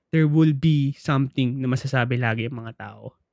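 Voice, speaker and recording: A man speaks slowly-ish, at a fairly slow pace, in a plain, everyday voice of medium pitch with ordinary pitch variation and a dry, close sound with no echo. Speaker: podcast co-host. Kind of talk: casual chat.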